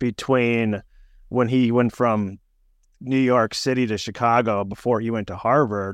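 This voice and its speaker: At a moderate pace over a quiet background, a man with a normal speaking voice talks at medium pitch with ordinary pitch variation. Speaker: podcast host. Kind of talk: interview.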